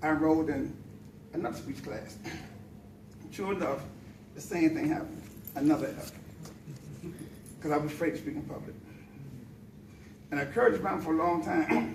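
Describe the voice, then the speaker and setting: A man with a fairly high voice and ordinary pitch variation talks at a fairly quick pace, leaving long, frequent pauses, with audible room echo and noticeable background noise. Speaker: public speaking club member. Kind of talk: prepared speech. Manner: fast.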